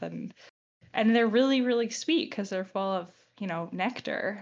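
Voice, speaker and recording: A normal speaking voice from a woman with an American accent, fairly quick, with ordinary pitch variation against a quiet background. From Long Island, New York. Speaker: podcast host. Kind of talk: casual chat.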